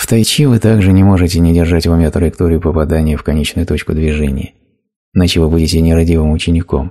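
The tone is dark and mellow, with fairly even intonation. The pace is very fast. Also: man, very deep, low pitch for a man. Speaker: voice-over narrator of a translated spiritual talk. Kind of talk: reading aloud a translated spiritual lecture.

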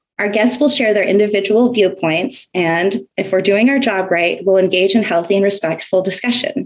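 A woman with a plain, everyday voice speaks at a moderate pace and medium pitch, with ordinary pitch variation, hardly any pauses and very even loudness. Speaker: podcast host. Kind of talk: casual chat.

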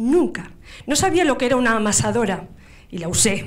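This woman's voice sits fairly high in pitch and carries vocal fry. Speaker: artisan baker and entrepreneur. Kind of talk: business pitch. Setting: stage with audience. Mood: warm personal storytelling. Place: hall. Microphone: handheld.

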